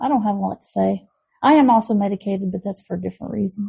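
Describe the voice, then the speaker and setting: A woman talks at a very fast pace with an American accent. Her voice is somewhat breathy. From Tennessee and northwest Georgia, partly Texas. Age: 40s. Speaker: podcast co-host. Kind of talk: casual chat.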